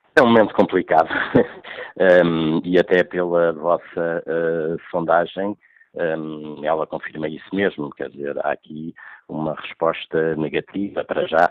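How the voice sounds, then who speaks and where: A man's very deep, low voice with fairly even intonation at a fairly slow pace. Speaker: football club commentator. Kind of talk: radio interview analysis. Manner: halting, many hesitations and repeats.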